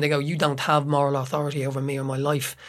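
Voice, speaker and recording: Speaking very fast with an Irish accent, a man talks at a fairly high pitch. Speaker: playwright and actor. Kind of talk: casual discussion.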